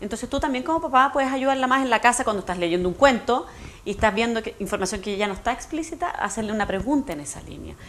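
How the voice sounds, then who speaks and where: The pace is very fast, with lively intonation and big swings in loudness. Noticeable background noise runs underneath. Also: woman, fairly high pitch for a woman. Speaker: education specialist. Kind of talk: TV interview. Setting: TV studio.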